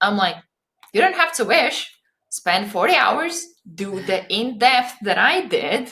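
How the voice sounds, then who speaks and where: A woman speaks very slowly in a high, bright and sharp voice, her pitch swinging very widely. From Latvia. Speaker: podcaster and coach. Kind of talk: podcast interview.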